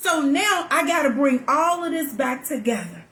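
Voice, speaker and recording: Over noticeable background noise and audible room echo, a woman talks fairly slowly in an animated tone, high-pitched with lively intonation. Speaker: talk show host. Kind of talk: live talk show monologue. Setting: live stream.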